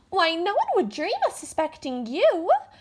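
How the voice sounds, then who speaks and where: Soft-spoken and squeaky, a woman uses a put-on character voice at an extremely high pitch. Her pitch swings very widely as she goes at a moderate pace. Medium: stage play. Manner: soft, hesitant.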